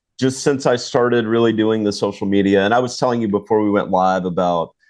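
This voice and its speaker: A man talks in a normal speaking voice at a fairly low pitch. His pace is fairly quick over a quiet background. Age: 40s. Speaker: charter fishing captain and podcast host. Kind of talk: casual chat.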